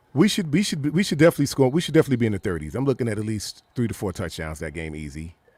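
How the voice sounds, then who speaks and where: A man with vocal fry races at a very fast pace with hardly any pauses, his medium pitch swinging very widely, the sound dry and close with no echo. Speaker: football podcaster. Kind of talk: casual chat. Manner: dragging.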